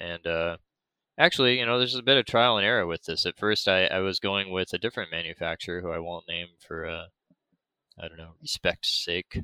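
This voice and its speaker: A man with an American accent speaks in a very deep, low voice with a bright, sharp tone, ordinary pitch variation and big swings in loudness, recorded dry and close with no echo on a very clean track with a silent background. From United States. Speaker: board game designer, new employee at a marketing agency. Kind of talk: casual chat.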